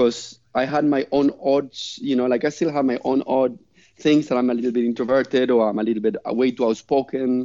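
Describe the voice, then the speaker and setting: This man speaks at a fairly quick pace, with a medium pitch and a non-native accent. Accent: noticeable foreign. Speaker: master parachute rigger and skydiver. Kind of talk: casual chat. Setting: remote call over the internet. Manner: animated.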